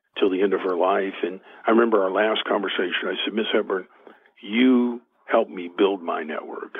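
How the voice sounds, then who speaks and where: A man with an American accent speaks in a normal speaking voice, fairly low-pitched, with fairly even intonation at a fairly quick pace. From Oklahoma. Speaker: author and motivational speaker. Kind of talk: interview storytelling.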